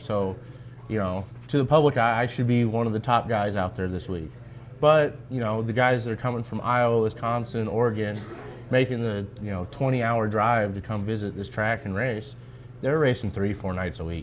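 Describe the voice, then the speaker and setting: Over noticeable background noise, a man of medium pitch talks at a moderate pace with ordinary pitch variation. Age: 20s. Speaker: race car driver. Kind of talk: casual interview.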